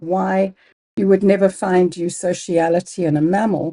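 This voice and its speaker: In a Zimbabwean accent, a woman speaks at a fairly slow pace with a dark, mellow tone. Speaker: biology professor. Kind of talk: interview.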